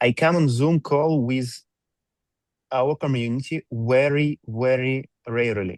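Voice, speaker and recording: A man talks fairly slowly at a medium pitch with ordinary pitch variation. His loudness stays very even, and the sound is dry and close with no echo. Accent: non-native. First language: not English. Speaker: company executive presenting to community. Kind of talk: reading aloud a prepared presentation. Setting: video call. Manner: halting, with fillers.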